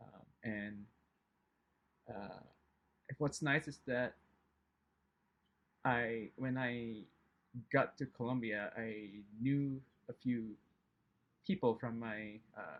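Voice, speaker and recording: Speaking at a very slow pace, a man with medium pitch leaves long, frequent pauses. His pitch variation is ordinary, while his loudness swings widely. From Indonesia. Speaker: chemistry professor. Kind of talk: interview. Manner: hesitant, many fillers.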